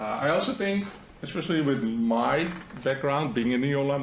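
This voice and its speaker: A man with a Dutch accent and medium pitch speaks at a moderate pace with lively intonation. Audible room echo and noticeable background noise accompany him. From Netherlands. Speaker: marketing agency founder. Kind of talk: seminar presentation.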